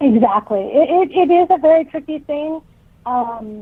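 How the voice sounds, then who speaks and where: This is a woman speaking with a Californian accent. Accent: California. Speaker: author. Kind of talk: interview.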